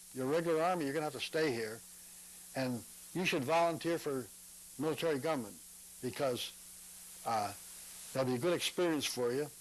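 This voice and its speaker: The words come out very fast. Pitch moves up and down in an ordinary way. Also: man. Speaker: war veteran. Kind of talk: interview answer. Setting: at home.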